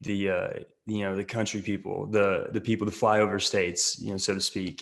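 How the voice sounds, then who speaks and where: A man with an Oklahoma accent speaks at a fairly low pitch and fairly quick pace. His intonation is monotone and flat. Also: quiet background. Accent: Oklahoma rural Southern US. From western Oklahoma. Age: 20s. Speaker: actor and social media creator. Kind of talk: podcast interview.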